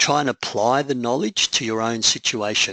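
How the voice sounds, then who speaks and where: Someone speaks in an Australian accent at a moderate pace. The sound is dry and close, with no echo. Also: man, quiet background. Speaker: public speaking coach. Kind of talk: webinar presentation. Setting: online webinar.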